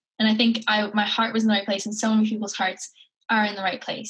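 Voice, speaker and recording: A woman in a Maritime Canadian accent speaks at a fairly quick pace. Her pitch sits fairly high. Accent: Canadian (Maritimes). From Cape Breton, Nova Scotia, Canada. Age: 20s. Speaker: nonprofit founder. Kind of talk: interview.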